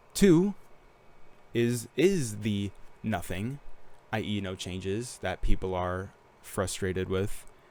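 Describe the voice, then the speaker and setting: A man at a very slow pace, with long, frequent pauses, big swings in loudness and ordinary pitch variation. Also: fairly low pitch for a man, very clean recording, silent background. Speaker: gaming YouTuber. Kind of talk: casual commentary rant. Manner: halting, stuttering.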